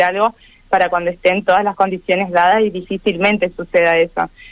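A plain, everyday voice from a woman at medium pitch, fairly quick and fairly even in intonation, in a dry, close sound with no echo. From Argentina, northern Santa Fe province. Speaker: long-distance cycling traveler and lawyer. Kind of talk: radio interview.

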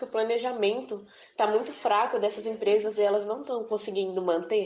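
A woman's unremarkable speaking voice, fairly high in pitch, at a fairly quick pace with ordinary pitch variation. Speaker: podcast host, student. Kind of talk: interview.

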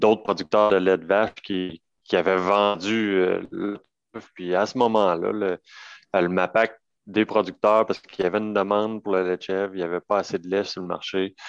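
Against a quiet background, a man speaks at a moderate pace with a fairly low pitch and a monotone, flat intonation. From Quebec, Bellechasse region. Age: 30s. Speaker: goat dairy farmer. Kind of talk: casual interview.

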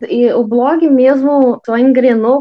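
A woman speaks in a fairly high pitch. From interior of Paraná, Brazil. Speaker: travel blogger and YouTuber. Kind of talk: casual interview chat.

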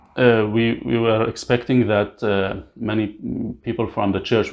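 The delivery carries vocal fry. It moves at a moderate pace. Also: man. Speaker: refugee. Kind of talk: interview. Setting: at home. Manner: halting.

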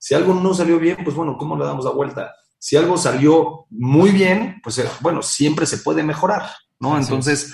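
A man's voice with vocal fry and audible room echo. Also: ordinary pitch variation, moderate pace. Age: 30s. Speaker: company founder and CEO. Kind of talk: interview.

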